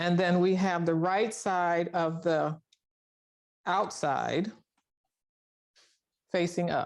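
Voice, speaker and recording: The recording is very clean, with nothing in the background. A woman talks with a fairly low pitch. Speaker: sewing instructor. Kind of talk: tutorial. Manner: halting.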